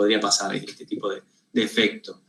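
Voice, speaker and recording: A man's bright, sharp tone at a fairly quick pace. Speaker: university lecturer. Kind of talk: lecture. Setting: video call. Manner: fast; halting, many repetitions.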